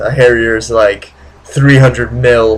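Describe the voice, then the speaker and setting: Over noticeable background noise, a man speaks at a fairly slow pace and a medium pitch with lively intonation. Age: 20s. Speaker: vlogger. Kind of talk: casual vlog monologue. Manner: halting, many fillers.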